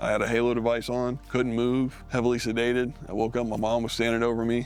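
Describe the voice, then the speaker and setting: Music plays in the background as a man of medium pitch talks very fast in a flat monotone. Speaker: wounded war veteran. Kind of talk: testimony.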